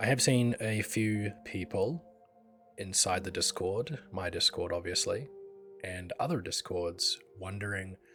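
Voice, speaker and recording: Music plays in the background as a man speaks at a fairly slow pace. His pitch is fairly low, with ordinary pitch variation. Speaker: concept artist and art director. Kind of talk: casual art tutorial talk.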